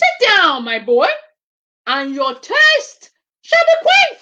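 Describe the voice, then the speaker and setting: At a very slow pace, a woman puts on a character voice with an extremely high pitch. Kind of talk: storytelling, offering a tale.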